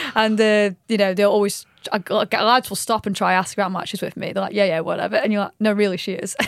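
Over noticeable background noise, a woman rattles along at a very fast pace with hardly any pauses in a monotone, flat intonation. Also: medium pitch for a woman. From Stoke-on-Trent, England. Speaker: personal trainer. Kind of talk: casual chat.

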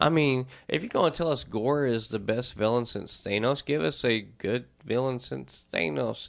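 A man with a normal speaking voice talks at medium pitch. His intonation is lively. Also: very clean recording, silent background. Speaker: podcast host. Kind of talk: casual chat about comics and movies.

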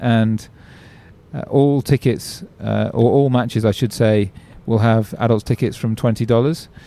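A man speaks with an English accent at a fairly slow pace, his tone dark and mellow. His intonation stays fairly even, his loudness very even, on a very clean recording with a silent background. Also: medium pitch for a man. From England. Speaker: cricket tournament chief executive. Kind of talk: interview.

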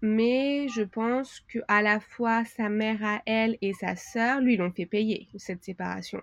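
Against a quiet background, a woman talks very slowly in a fairly high pitch with ordinary pitch variation, the sound dry and close with no echo. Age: 30s. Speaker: tutoring agency owner. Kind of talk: interview. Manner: hesitant, many fillers.

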